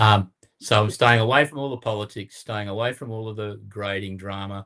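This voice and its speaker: Fairly low male voice with an Australian accent and fairly even intonation, in a very clean recording with a silent background. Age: 70s. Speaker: card collector. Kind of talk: casual chat.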